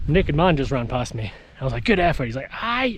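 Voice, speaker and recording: A man with a Scottish accent talks at a moderate pace. His pitch swings very widely, and there is noticeable background noise. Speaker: hiking vlogger. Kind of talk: outdoor vlog narration. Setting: outdoors on mountain. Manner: casual; shouting.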